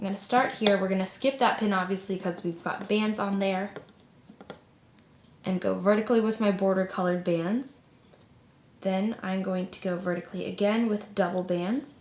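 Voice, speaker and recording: Moderate pace with long, frequent pauses, over noticeable background noise. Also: woman, medium pitch for a woman, fairly even intonation. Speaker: craft tutorial youtuber. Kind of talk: tutorial.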